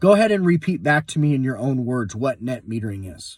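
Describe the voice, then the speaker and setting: A man talks at a fairly quick pace in a somewhat breathy voice with very wide pitch swings. The recording is very clean, with a silent background. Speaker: solar sales trainer. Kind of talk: tutorial. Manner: fast.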